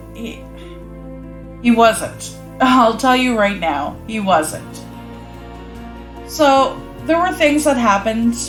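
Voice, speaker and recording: Someone talks at a very slow pace in a Cape Breton accent, with music playing in the background. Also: woman. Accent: Cape Breton Canadian English. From Cape Breton, Nova Scotia, Canada. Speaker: vlogger. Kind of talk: casual storytelling to camera.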